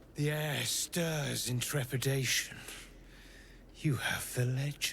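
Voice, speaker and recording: Putting on a character voice, a man speaks at a fairly slow pace and a fairly high pitch over clear background noise. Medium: video game. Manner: cold, commanding.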